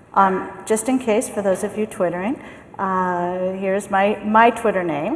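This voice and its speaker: A woman with a medium-pitched voice speaks at a very slow pace over noticeable background noise. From US, San Francisco. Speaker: management consultant and keynote speaker. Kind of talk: keynote talk. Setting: conference stage with microphone.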